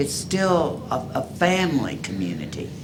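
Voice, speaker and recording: A man with an American accent speaks with very wide pitch swings. Noticeable background noise and audible room echo fill the recording. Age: 70s. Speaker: resident speaking at public comment. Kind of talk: public comment. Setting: city commission meeting.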